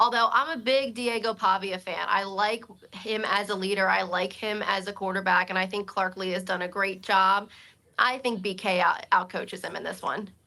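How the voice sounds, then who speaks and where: In a normal speaking voice with an American accent, a woman talks at a moderate pace and medium pitch, her intonation fairly even. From Pennsylvania, near Philadelphia and Hershey. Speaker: TV sports director. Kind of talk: casual sports chat.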